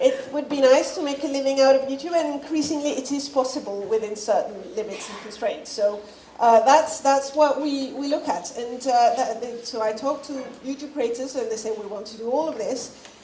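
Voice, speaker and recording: A woman with a French accent speaks at a high pitch with ordinary variation, her loudness swinging widely. Noticeable background noise and audible room echo surround her voice. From France, Paris. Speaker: media company executive. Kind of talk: conference talk. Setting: stage with audience. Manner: fast; self-correcting, halting.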